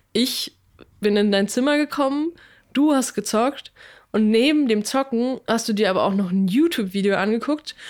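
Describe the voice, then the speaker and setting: An unremarkable speaking voice moves at a moderate pace with ordinary pitch variation and very even loudness, on a very clean recording with a silent background. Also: woman, fairly high pitch for a woman. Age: 20s. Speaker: podcast co-host. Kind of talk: casual chat.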